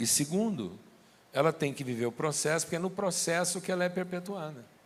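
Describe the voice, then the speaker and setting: Fairly quickly, a man talks with ordinary variation in his pitch. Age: 60s. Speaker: pastor. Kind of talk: sermon.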